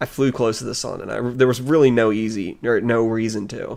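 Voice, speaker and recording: A man talks fairly quickly at a medium pitch with vocal fry. His intonation is fairly even, and the recording is very clean with a silent background. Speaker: streamer playing a chatbot game. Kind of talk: casual chat. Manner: halting.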